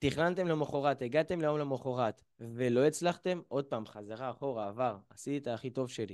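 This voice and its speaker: Lively intonation colors a man's speech at a moderate pace. Behind him, the background is quiet. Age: 20s. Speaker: mental coach; lecturer on emotional eating. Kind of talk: lecture. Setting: video call. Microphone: video call.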